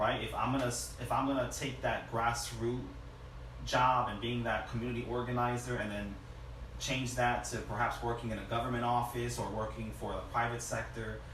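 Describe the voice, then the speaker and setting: A man with an American accent speaks at a moderate pace. Noticeable background noise and audible room echo surround him. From US Northeast, New Haven, Connecticut. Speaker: community organizer. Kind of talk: interview.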